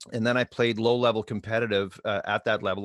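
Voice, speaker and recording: In a Montreal accent, a man speaks with a fairly low pitch, and the sound is dry and close with no echo. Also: very clean recording, silent background. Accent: Canadian English, Montreal. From Quebec, Montreal. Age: 60s. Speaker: hockey coach and mindset trainer. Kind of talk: podcast interview. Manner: conversational, some hesitations.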